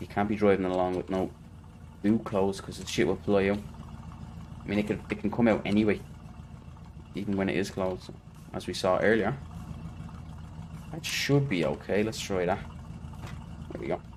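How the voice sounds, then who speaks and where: Speaking with an Irish accent, a man uses a fairly low pitch and ordinary pitch variation. His pace is fairly quick, broken by long, frequent pauses. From Ireland. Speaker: video game streamer. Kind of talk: live gameplay commentary. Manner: casual, rambling.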